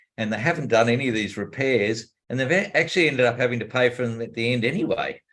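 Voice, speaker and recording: At a fairly quick pace, a man talks in a plain, everyday voice at medium pitch. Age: 60s. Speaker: commercial property investor and course teacher. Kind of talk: interview.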